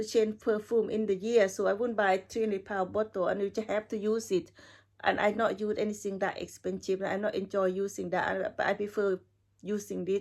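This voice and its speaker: A woman with a non-native accent speaks at a medium pitch in a monotone, flat intonation. The recording is very clean, with a silent background. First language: not English. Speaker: perfume reviewer. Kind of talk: casual video review. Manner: halting.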